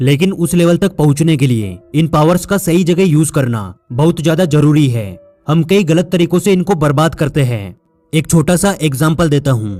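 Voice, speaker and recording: Music plays behind a man with a fairly high pitch and lively intonation. His loudness stays very even. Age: 20s. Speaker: motivational speaker. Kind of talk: motivational speech.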